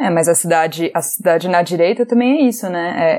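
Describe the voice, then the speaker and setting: Hers is an unremarkable speaking voice, pitched medium with ordinary variation. The woman talks at a fairly quick pace. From Brazil, Recife (Pernambuco). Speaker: podcast co-host. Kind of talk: casual chat.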